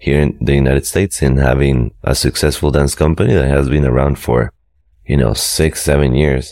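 Very deep and low, a man's voice holds a very even loudness and fairly even intonation. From Costa Rica. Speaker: dance company director. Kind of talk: interview.

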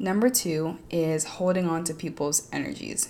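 Mumbling, a woman talks in a fairly low pitch. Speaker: podcast host. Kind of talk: motivational monologue.

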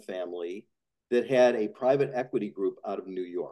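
With an American accent and a dark, mellow tone, a man at a medium pitch speaks at a moderate pace with very wide pitch swings. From Chicago suburbs (Highland Park). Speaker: industrial real estate investor. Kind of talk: casual interview.

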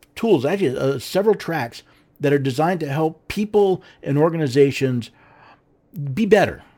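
A man speaks with an American accent and a dark, mellow tone. His intonation is lively. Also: long, frequent pauses, very clean recording, silent background. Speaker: podcast host. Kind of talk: scripted-style talk show monologue with a sales-pitch product plug. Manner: earnest, persuasive; slightly halting with stumbles and repeated words.

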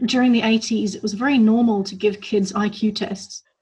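Somewhat breathy and fairly even in intonation, the voice moves at a very slow pace. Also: woman. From grew up internationally, moved between countries. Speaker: psychotherapist. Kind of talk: interview.

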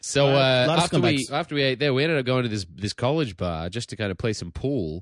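Barely pausing, a man with an Australian accent talks at a medium pitch with lively intonation. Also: moderate pace. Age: 30s. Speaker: touring comedian, podcast guest.

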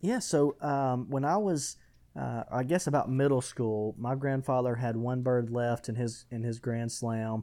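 In an Alabama accent, a man speaks at a medium pitch with a dark, mellow tone and ordinary pitch variation. He talks at a fairly slow pace on a very clean recording with a silent background. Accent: Southern US (Alabama). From US South, west Alabama. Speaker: hunting trade business founder. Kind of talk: podcast interview.

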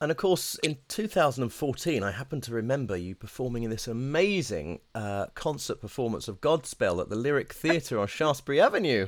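Hardly pausing, a man talks at a fairly quick pace with very wide pitch swings. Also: medium pitch for a man. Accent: British. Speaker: podcast host, voice coach. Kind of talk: interview with scripted intro. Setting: video call.

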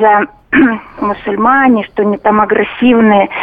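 Noticeable background noise sits behind a woman who speaks fairly slowly. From Stavropol, southern Russia. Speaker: radio caller. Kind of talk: phone-in opinion.

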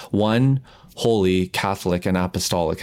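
With a Canadian accent, a man talks at a moderate pace with ordinary pitch variation on a very clean recording with a silent background. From Canada. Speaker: pastor and author. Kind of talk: interview. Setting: call. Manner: animated.

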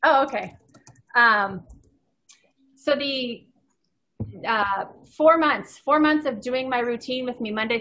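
In a normal speaking voice, a woman talks at a moderate pace with an American accent. Her pitch variation is ordinary. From Southern California. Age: 40s. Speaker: endurance athlete and coach. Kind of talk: casual interview.

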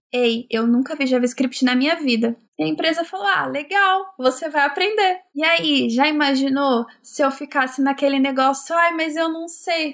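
A woman speaks at a moderate pace. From São Paulo, Brazil. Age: 20s. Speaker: software developer. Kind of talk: casual interview chat.

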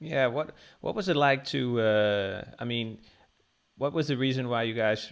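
The pace is fairly slow, with ordinary pitch variation. The speaker has a Danish accent. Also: man, medium pitch for a man. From Denmark. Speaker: podcast host. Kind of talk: interview.

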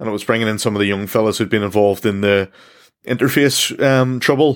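A man with a medium pitch and a Northern Irish accent, with ordinary pitch variation. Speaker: podcast host. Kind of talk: podcast interview. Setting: small room at home, remote recording.

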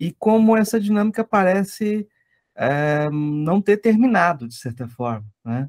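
Speaking at a fairly slow pace, a man uses a high voice with very wide pitch swings. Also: dry, close sound with no echo. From Brazil, Goiás. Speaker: podcast host and law lecturer. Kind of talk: interview conversation.

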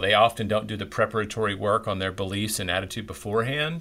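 A man's unremarkable speaking voice with an American accent, moderate pace and ordinary pitch variation. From Tennessee, US South. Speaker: author and publisher. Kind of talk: interview.

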